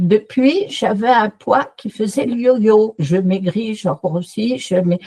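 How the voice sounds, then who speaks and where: A woman's fairly high, somewhat breathy voice with a dark, mellow tone and lively intonation, in a dry, close sound with no echo. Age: 70s. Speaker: customer giving a testimonial. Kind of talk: testimony. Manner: animated.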